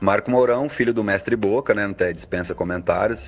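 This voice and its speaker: This voice belongs to a man. The intonation is fairly even throughout. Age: 30s. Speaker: musician. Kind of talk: interview.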